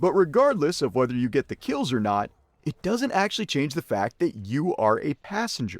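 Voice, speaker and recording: A man with an American accent, moderate pace and very wide pitch swings, in a dry, close sound with no echo. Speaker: gaming YouTuber. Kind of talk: game guide commentary. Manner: sarcastic, jokey.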